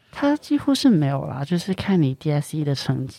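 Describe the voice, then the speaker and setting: Speaking at a very fast pace, a man with a Cantonese accent has a dark, mellow tone. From Hong Kong. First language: Cantonese (speaking Chinese). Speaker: university student. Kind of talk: casual chat.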